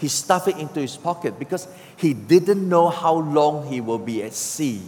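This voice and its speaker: A man with a fairly high pitch speaks at a moderate pace over noticeable background noise. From Singapore. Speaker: pastor. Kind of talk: sermon. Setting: church.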